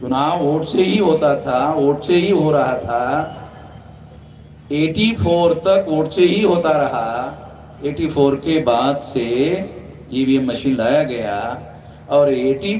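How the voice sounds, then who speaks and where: A man's fairly high pitch with ordinary pitch variation, set in audible room echo and noticeable background noise. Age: 60s. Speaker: activist leader. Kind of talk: political speech. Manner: loud.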